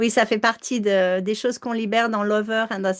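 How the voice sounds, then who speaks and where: A fairly high-pitched woman's voice, monotone and flat, at a moderate pace. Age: 60s. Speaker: emotional release coach. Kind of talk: live online coaching session and sales pitch. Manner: hesitant, many fillers.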